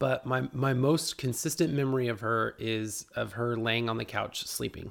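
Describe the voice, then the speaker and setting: A man with an American accent talks at a moderate pace and medium pitch with fairly even intonation. The recording is very clean with a silent background. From Houston, Texas. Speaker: podcast host. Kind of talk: casual monologue. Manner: hesitant, many fillers.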